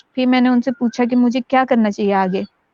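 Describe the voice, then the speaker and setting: A woman with a normal speaking voice at a fairly high pitch, with a moderate pace, fairly even intonation and a dry, close sound with no echo. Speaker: acid attack survivor and social activist. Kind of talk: interview testimony.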